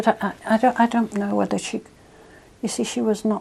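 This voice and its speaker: A woman speaks in a dark, mellow tone with lively intonation. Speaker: interviewee. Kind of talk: oral history interview.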